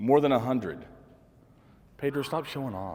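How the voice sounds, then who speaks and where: The speaker is a man with a dark, mellow tone. The recording is very clean, with a silent background. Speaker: media company owner and presenter. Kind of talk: business presentation to audience. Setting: room with live audience, no microphone. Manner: loud; casual, joking.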